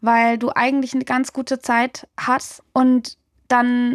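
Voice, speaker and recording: This woman's high voice has fairly even intonation and a dry, close sound with no echo. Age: 20s. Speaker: music journalist and DJ. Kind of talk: interview, personal testimony. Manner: casual, colloquial.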